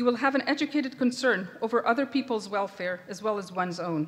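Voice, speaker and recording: With an Israeli accent, a woman speaks at a fairly quick pace. Her fairly high voice has lively intonation. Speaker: professor. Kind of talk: commencement address. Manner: formal.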